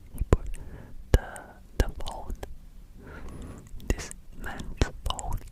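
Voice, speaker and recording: Someone is whispering at a very slow pace. Noticeable background noise sits under the voice. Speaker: ASMR creator. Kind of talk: ASMR movie retelling. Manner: casual, hesitant.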